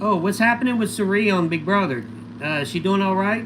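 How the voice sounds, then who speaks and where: A man talks loudly at a very fast pace with high pitch, amid audible room echo and noticeable background noise. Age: 50s. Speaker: livestreamer, former reality TV contestant. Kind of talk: casual livestream chat answering viewer questions. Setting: solo livestream. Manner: animated.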